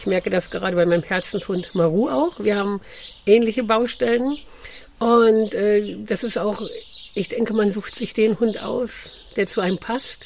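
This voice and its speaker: A woman with a normal speaking voice uses a medium pitch, a moderate pace and ordinary pitch variation. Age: 50s. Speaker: dog trainer and coach. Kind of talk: casual interview.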